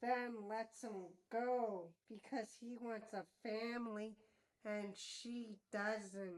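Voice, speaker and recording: A cartoonish character voice speaks at a very slow pace. It sounds female, with a fairly high pitch for a woman. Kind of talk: TV episode review. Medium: puppet. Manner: playful, enthusiastic.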